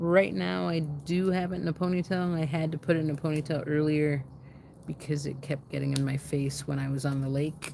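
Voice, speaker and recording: The speaker is soft-spoken, with a dark, mellow tone. Pitch varies in an ordinary way. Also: woman. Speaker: livestream host, activist. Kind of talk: casual livestream chat. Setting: outdoors by a fire pit.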